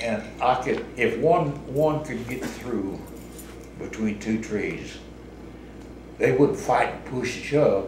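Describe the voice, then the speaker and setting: In a rural Missouri accent, a man speaks at a very slow pace with long, frequent pauses and big swings in loudness, against noticeable background noise and audible room echo. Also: medium pitch for a man, ordinary pitch variation. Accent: rural Missouri American. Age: 80s+. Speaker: retired laborer. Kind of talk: oral history interview. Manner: halting.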